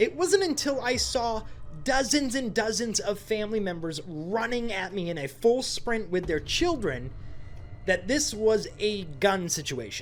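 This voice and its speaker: Speaking at a fairly slow pace with a slight New England accent, a man with a high pitch uses very wide pitch swings. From Maine, US. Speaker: YouTuber. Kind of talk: casual storytelling vlog.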